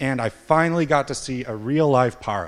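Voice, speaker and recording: The man speaks with an American accent. The recording is very clean, with a silent background. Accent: American, noticeable in Cornwall. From US, Montana. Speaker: software developer, conference speaker. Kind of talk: conference talk. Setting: stage with audience.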